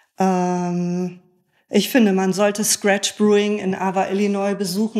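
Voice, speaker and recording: A woman with a medium pitch and a plain, everyday voice speaks with fairly even intonation. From northern Germany (Bremen). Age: 50s. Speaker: beer sommelier and author. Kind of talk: interview conversation.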